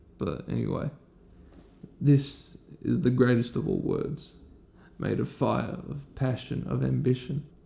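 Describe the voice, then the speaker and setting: A man with an Australian accent, fairly slow, with long, frequent pauses. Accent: Australian, by own account. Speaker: video essayist. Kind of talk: scripted poetic monologue. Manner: sloppy, side-mouthed speech.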